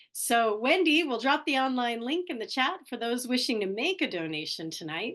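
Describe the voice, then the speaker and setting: Against a quiet background, a woman with a fairly high voice speaks at a moderate pace, her pitch swinging very widely. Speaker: foundation program host. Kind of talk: event opening remarks. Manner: stumbling over words.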